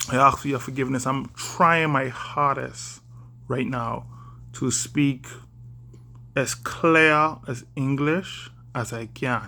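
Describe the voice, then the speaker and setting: In a Bahamian accent, a man speaks very slowly. He leaves long, frequent pauses. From Bahamas. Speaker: vlogger. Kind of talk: casual vlog monologue. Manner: deliberately slowed, careful speech; hesitant, many fillers.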